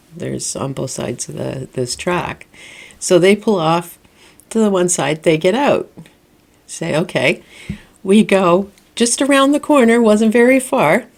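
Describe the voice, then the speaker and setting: A woman with a Canadian accent speaks in an animated tone at medium pitch, with vocal fry. Her pitch swings very widely, and she takes long, frequent pauses. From Canada. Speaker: spiritual vlogger. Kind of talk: casual storytelling vlog. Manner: chatty, animated.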